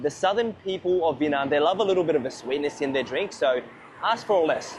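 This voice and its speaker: Over noticeable background noise, an animated speaker with an Australian accent talks with ordinary pitch variation. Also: man. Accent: thick Australian. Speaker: food and travel vlogger. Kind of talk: casual vlog narration. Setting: outdoors.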